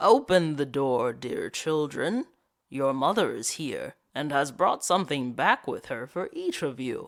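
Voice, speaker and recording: The speaker uses a put-on character voice at a fairly slow pace. The recording is very clean, with a silent background. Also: man, fairly high pitch for a man. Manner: deceptively sweet.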